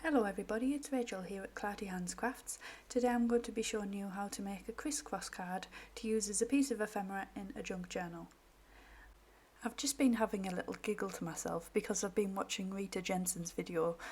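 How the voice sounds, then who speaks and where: Somewhat breathy, a woman speaks at a fairly quick pace in a medium pitch with ordinary pitch variation. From northeast England. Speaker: crafter / craft YouTuber. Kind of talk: craft tutorial.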